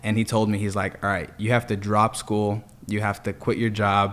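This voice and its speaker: Talking at a fairly quick pace, this man has an American accent. His pitch is fairly low and his intonation is monotone and flat. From Los Angeles area, California. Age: 20s. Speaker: solar sales manager. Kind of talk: casual podcast chat.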